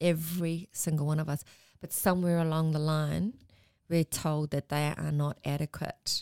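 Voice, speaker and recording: A woman with an Australian accent speaks at a moderate pace in a very deep, low pitch. Her intonation is monotone and flat, and the sound is dry and close with no echo. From Melbourne, Australia. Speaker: Māori community worker. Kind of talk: casual chat.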